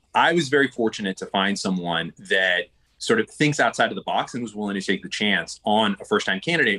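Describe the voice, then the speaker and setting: A man with an American accent at a very fast pace, in a dry, close sound with no echo. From California. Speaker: Senate candidate, businessman. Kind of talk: interview.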